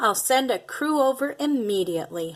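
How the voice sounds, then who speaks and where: In a put-on character voice, a woman speaks at a moderate pace with a high pitch. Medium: read story. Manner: friendly, polite.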